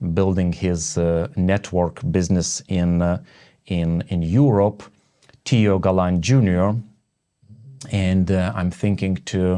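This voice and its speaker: Very slowly, a man with a Lithuanian accent speaks in a very deep, low, dark and mellow voice with ordinary pitch variation over a quiet background. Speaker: network marketing entrepreneur and podcast host. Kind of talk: casual interview chat. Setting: home studio. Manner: halting, many fillers and restarts.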